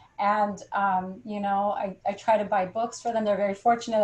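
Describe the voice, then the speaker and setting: With an American accent, a woman talks at a fairly quick pace in a fairly high, somewhat breathy voice and a flat monotone. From California. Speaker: poet and professor. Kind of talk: panel discussion.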